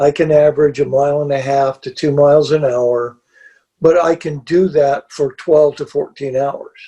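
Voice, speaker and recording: Against a quiet background, a man with a fairly high pitch and a dark, mellow, somewhat breathy tone speaks at a moderate pace in a monotone, flat intonation. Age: 70s. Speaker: backpacker; interview guest. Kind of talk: casual interview chat. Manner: halting, repeats words. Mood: calm, matter-of-fact. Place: home room.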